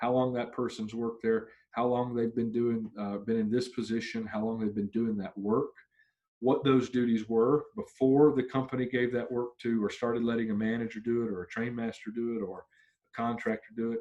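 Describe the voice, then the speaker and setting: The man's medium-pitched voice stays monotone and flat in its intonation. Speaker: union trainer. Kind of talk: training session. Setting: virtual video recording. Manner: fast.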